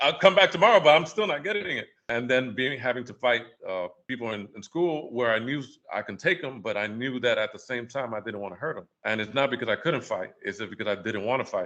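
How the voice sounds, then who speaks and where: A man with a New York accent speaks at a fairly quick pace and medium pitch. His intonation is lively and his loudness swings widely. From New York City, Washington Heights. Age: 40s. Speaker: photographer. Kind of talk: casual chat.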